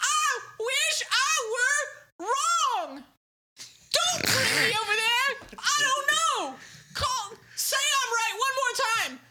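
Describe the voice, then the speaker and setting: Using a put-on character voice, a female-sounding speaker talks at an extremely high pitch and a very slow pace, with long, frequent pauses. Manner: weary, resigned.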